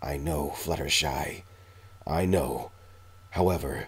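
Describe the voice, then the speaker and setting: Here a man puts on a growling, raspy character voice, pitched very deep and low. He talks at a fairly slow pace. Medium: read story. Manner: snarling, growling.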